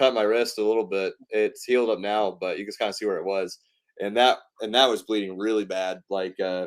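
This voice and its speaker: With a slight Southern US accent, a fairly low-pitched man speaks at a fairly quick pace in a monotone, flat intonation. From US South, East Tennessee. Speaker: pro wrestler and filmmaker. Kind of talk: interview. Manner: casual, many fillers.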